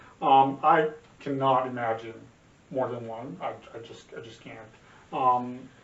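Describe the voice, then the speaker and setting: A man speaks at a fairly slow pace in a medium pitch, with fairly even intonation, big swings in loudness and long, frequent pauses. Audible room echo and noticeable background noise surround him. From Serbia. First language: Serbian. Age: 40s. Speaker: podcast co-host, father. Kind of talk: casual chat. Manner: halting, many repetitions and fillers.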